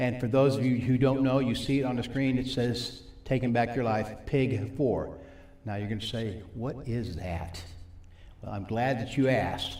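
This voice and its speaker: Over noticeable background noise and audible room echo, a man talks at a moderate pace with medium pitch and ordinary pitch variation. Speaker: recovery ministry teacher. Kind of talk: sermon.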